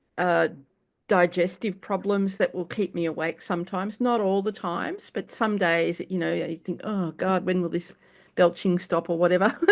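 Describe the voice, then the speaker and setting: The speaker has an Australian accent and a moderate pace. The intonation is monotone and flat. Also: woman, medium pitch for a woman, very clean recording, silent background. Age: 70s. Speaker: cancer patient in support group. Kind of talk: casual sharing. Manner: halting.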